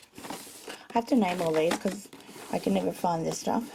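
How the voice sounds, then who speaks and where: There is noticeable background noise as a woman speaks with an Australian accent. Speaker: crafter / vlogger. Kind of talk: home tour video. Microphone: poor compressed video quality.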